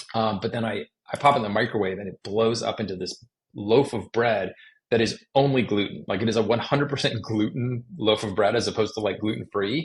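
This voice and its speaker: At a fairly quick pace, a man speaks in a somewhat breathy, medium-pitched voice with ordinary pitch variation. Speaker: chef and magazine editor. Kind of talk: interview conversation. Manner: fast; casual, filler-heavy.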